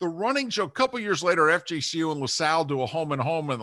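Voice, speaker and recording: A man with an American accent talks at a very fast pace in a fairly high, bright, sharp voice that swings very widely in pitch. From New Jersey. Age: 50s. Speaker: sports radio host and football spotter. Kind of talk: casual interview.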